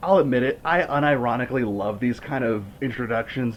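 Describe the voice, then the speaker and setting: A man with lively intonation keeps a moderate pace while noticeable noise sounds in the background. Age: 20s. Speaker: movie reviewer. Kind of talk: commentary-style movie review. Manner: animated.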